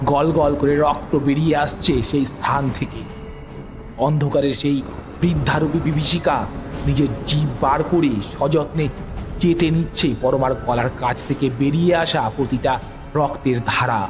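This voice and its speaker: Over music in the background, a man with a fairly high pitch talks with very even loudness and fairly even intonation. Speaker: audio story narrator. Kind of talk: horror audio story narration.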